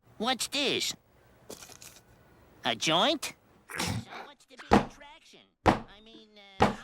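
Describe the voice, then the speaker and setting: A put-on character voice with a fairly high pitch moves at a very slow pace, broken by long, frequent pauses. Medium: voice reel. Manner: cocky, wisecracking.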